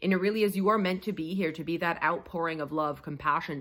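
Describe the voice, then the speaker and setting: A woman with ordinary pitch variation and a medium pitch talks on a very clean recording with a silent background. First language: French. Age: 30s. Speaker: tarot reader. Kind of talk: tarot reading to camera. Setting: sitting on the floor at home. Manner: casual, animated.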